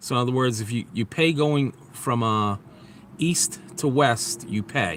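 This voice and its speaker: A man with a New York accent at a medium pitch and a fairly slow pace. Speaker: vlogger. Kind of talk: casual live stream chat. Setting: outdoors near highway.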